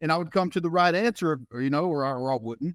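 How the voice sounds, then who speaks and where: Recorded very cleanly against a silent background, a man with a Southern US accent talks in a fairly high pitch and lively intonation, the sound dry and close with no echo. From US South. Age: 30s. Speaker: fitness and life coach. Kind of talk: interview conversation. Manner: halting, many repeated words.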